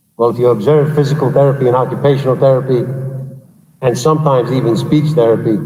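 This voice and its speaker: Over noticeable background noise and audible room echo, a man at medium pitch speaks in a passionate tone at a very fast pace. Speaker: school superintendent. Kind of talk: public meeting address. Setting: big room. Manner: loud.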